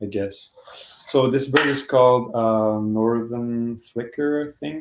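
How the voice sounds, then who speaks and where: A man's medium-pitched voice at a very slow pace. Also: fairly even intonation. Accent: Quebec. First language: French. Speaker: painter. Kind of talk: livestream sale of own artworks. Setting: live video stream from home basement. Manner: halting, many fillers.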